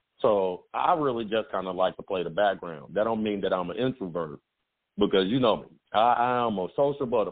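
Here a man with an American accent speaks at a fairly low pitch. His intonation is lively and his pace fairly quick. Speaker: radio host. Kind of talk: casual banter podcast chat. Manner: loud, talkative.

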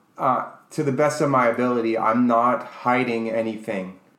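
Audible room echo surrounds a man speaking at a medium pitch and a fairly slow pace. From New York. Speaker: co-host, English teacher and author. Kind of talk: casual chat.

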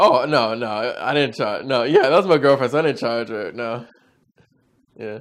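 A man with an American accent, a normal speaking voice and medium pitch talks at a moderate pace, with ordinary pitch variation and big swings in loudness. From Northern Virginia, US. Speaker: videographer and photographer. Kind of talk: casual chat.

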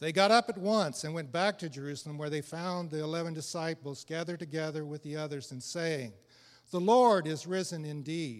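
A man with an American accent and a plain, everyday voice talks at a fairly high pitch with ordinary pitch variation, in a very clean recording with a silent background. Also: fairly quick pace. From Illinois. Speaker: church member. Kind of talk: reading aloud.

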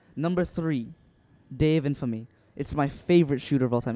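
With an American accent, a man talks at a fairly quick pace. His tone is dark and mellow, with ordinary pitch variation. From Vietnam. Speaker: musician. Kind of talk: casual chat.

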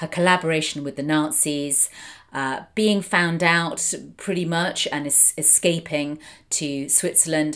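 A woman with a British accent, very deep and low in pitch, with fairly even intonation at a very slow pace, in a very clean recording with a silent background. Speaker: film critic and podcast host. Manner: hesitant, many filler words, articulate.

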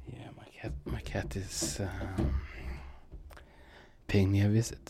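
At a very slow pace, a man with a very deep, low pitch speaks with lively intonation, audible room echo and noticeable background noise. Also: big swings in loudness. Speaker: gaming streamer. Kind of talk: casual gameplay commentary. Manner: halting, many fillers.

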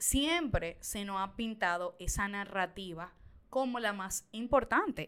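A woman with a medium-pitched voice and a bright, sharp tone sounds animated, her pitch varying in an ordinary way. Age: 20s. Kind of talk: casual chat.

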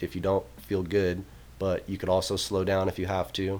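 A man's unremarkable speaking voice, fairly low in pitch, at a moderate pace. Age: 20s. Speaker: football and track coach. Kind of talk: casual chat.

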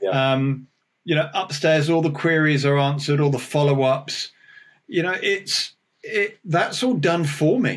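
Somewhat breathy, the man's voice rises and falls with ordinary pitch variation. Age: 50s. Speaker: oral surgeon and dentist. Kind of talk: casual interview.

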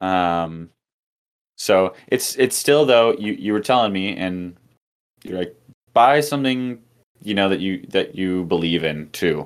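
A man with a fairly low pitch speaks with lively intonation. His pace is fairly slow, with long, frequent pauses. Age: 20s. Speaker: musician. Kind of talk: casual chat.

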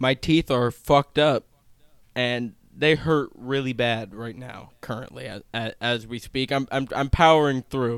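A man speaks at a medium pitch and a fairly slow pace, his tone clear and smooth, with ordinary pitch variation.

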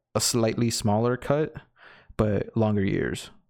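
In a very clean recording with a silent background, a man with an ordinary speaking voice talks at medium pitch with fairly even intonation. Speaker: sports podcast co-host. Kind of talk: casual chat about NFL news.

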